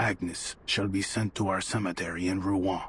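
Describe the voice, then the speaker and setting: A man does a cartoonish character voice with a very deep, low pitch, a solemn tone, and monotone, flat intonation over clear background noise. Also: moderate pace. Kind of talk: archaic formal speech. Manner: solemn, measured.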